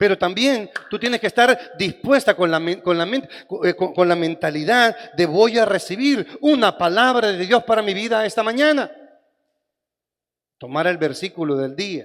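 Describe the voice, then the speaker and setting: High-pitched male speech with lively intonation. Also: moderate pace. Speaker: pastor. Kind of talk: sermon.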